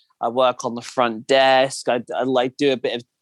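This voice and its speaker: In a southern English accent, a man talks at a medium pitch, the sound dry and close with no echo. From southern England, Kent. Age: 20s. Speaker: podcast guest. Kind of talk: casual chat.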